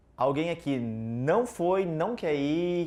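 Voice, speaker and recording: This man speaks with a Curitiba accent. His pitch is fairly high, with ordinary variation. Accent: Curitiba accent, noticeable. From southern Brazil, Curitiba. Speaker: IT consultant, conference speaker. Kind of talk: tech conference talk. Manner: casual, interactive.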